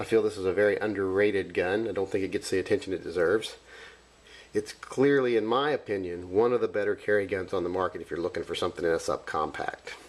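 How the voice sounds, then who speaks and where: A man at a very fast pace on a very clean recording with a silent background. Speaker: handgun reviewer. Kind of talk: casual product review to camera.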